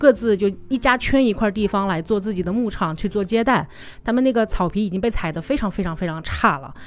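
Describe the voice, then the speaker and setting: A woman talks at a fairly quick pace with ordinary pitch variation in a medium pitch. Music plays in the background. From Changsha, Hunan. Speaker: tour leader and travel product planner. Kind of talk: casual interview chat.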